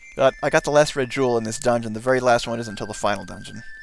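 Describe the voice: Fairly even intonation in plain reading aloud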